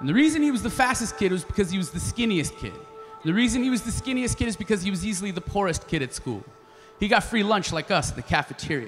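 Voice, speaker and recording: Faint music plays behind a man who talks very fast in a high voice with very wide pitch swings. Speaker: spoken word artist and slam poet. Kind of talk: live storytelling performance. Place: stage. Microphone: handheld.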